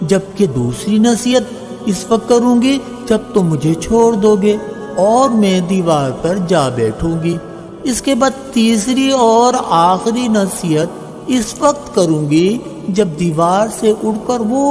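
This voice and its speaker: Music sits in the background while a man with a high pitch speaks with lively intonation. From Pakistan. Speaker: voice over artist. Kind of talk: moral story narration.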